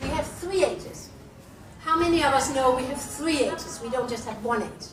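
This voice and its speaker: A woman at a moderate pace with lively intonation, audible room echo and noticeable background noise. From Denmark. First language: Danish. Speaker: nutrition scientist and business owner. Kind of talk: public talk. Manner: animated.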